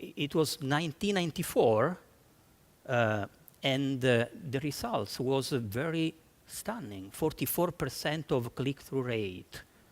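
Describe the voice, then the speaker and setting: Speaking at a fairly slow pace in an Italian accent, a man with a fairly high pitch uses lively intonation. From Italy. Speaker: marketing executive. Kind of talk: conference talk. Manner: halting, many fillers and restarts.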